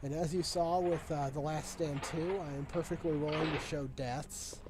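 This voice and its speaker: Music plays in the background while the speech moves at a moderate pace with audible room echo. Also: man. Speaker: gaming video creator. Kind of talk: let's play commentary.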